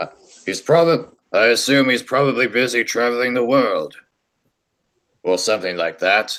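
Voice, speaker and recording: A man puts on a character voice at a medium pitch. He takes long, frequent pauses. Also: moderate pace. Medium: audio drama. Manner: gentle, measured.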